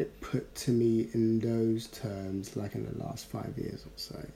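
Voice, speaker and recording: With a London accent, a man speaks very slowly at a medium pitch. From Ghana, raised partly in South London. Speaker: podcast co-host. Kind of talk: casual chat.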